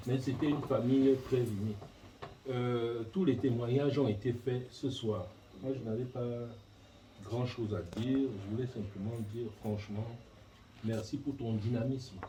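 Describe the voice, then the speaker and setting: Amid noticeable background noise and audible room echo, a man of medium pitch talks at a fairly slow pace with fairly even intonation and long, frequent pauses. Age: 60s. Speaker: family elder giving a thank-you speech. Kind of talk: speech at a family reception. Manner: halting, hesitant.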